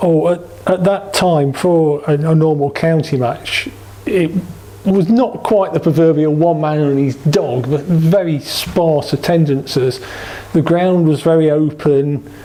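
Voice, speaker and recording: A man with an East Midlands accent, fairly high pitch, ordinary pitch variation and very even loudness, over noticeable background noise. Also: fairly slow pace. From England, East Midlands (Derby). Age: 60s. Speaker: cricket supporter. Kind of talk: oral history interview.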